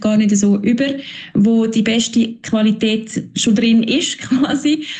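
Her loudness very even, a woman talks at a fairly high pitch over noticeable background noise. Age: 30s. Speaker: marketing manager. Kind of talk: interview.

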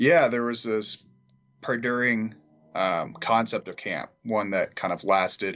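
A man speaks at a fairly slow pace with a Californian accent. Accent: Californian American English. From Southern California. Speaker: camp counselor. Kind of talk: casual interview.

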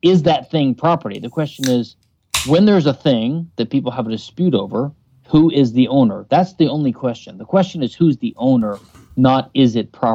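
This man talks at a fairly quick pace with an American accent. His dark, mellow tone sits at a fairly high pitch, with lively intonation. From US South, Louisiana. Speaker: libertarian legal theorist. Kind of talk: interview.

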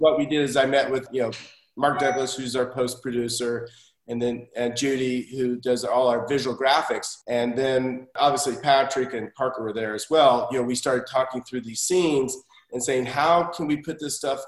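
A man with a plain, everyday voice speaks in an American accent at a moderate pace. His pitch is medium and his intonation fairly even. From Oklahoma, US (Tulsa). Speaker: TV director and assistant director. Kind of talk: podcast interview.

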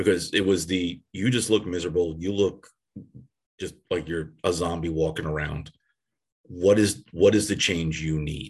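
A man with an American accent speaks at a moderate pace, his very deep, low pitch held in fairly even intonation. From US Northeast (Connecticut / New York area). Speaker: athletic trainer. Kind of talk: interview.

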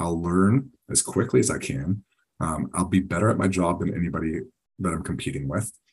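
This man's voice is very deep and low, with vocal fry. He speaks at a fairly quick pace with ordinary pitch variation. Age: 30s. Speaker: military veteran in medical device sales. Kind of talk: casual interview. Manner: halting, many fillers and repeats.

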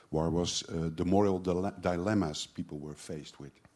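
With a very deep, low pitch and a dark, mellow tone, a man speaks with ordinary pitch variation. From Netherlands. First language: Dutch (speaking French). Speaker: comic artist. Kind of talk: panel talk at a festival. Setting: stage with audience.

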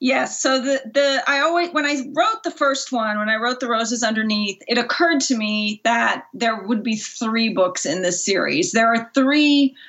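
With hardly any pauses, a woman talks in a high pitch with lively intonation against noticeable background noise. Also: moderate pace. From Germany, moved to US at six. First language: German. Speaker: author. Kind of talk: interview. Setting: remote call. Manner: halting, many fillers.

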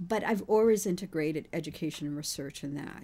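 Dark and mellow in tone, a woman with an American accent speaks at a fairly low pitch. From Haiti, then Queens, New York from age seven. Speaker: pediatrician and university president. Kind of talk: radio interview. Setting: studio.

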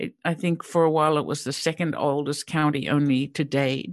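The pace of this woman's speech is moderate. Behind her, all is quiet. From Australia, Sydney. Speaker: real estate developer and crowdfunding founder. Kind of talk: interview conversation.

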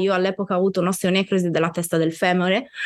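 Here is a woman with a normal speaking voice at medium pitch. Her intonation is fairly even. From Sardinia, Italy. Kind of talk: interview conversation.

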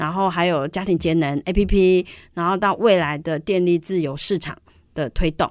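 A woman with a fairly low voice and normal pitch movement is heard in a very clean recording where the background is silent. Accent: Taiwanese. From Taiwan, Banqiao (New Taipei). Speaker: environmental foundation director. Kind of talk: interview.

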